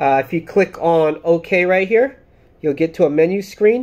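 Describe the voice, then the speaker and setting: A man's voice, high-pitched for a man. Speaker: product reviewer. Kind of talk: casual vlog chat. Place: home room. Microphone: phone near.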